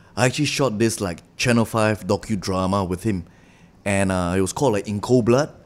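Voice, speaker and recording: With a plain, everyday voice, a man speaks at a fairly quick pace and a fairly low pitch with ordinary pitch variation. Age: 30s. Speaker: actor. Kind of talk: casual chat.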